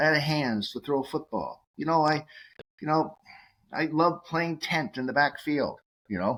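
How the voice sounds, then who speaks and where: A man's fairly high voice in a Massachusetts accent, with long, frequent pauses, on a very clean recording with a silent background. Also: ordinary pitch variation, moderate pace. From Massachusetts, Cape Cod. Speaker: nutraceutical executive and radio host. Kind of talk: podcast interview. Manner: animated, many fillers.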